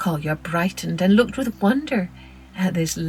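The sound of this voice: The intonation moves in a lively way. It is an unforced reading voice.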